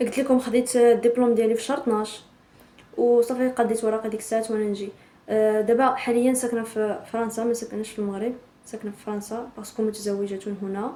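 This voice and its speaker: This woman's voice sits fairly high in pitch. Her delivery is fairly quick and monotone, with flat intonation. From Morocco, Tan-Tan. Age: 20s. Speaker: vlogger. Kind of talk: casual intro vlog.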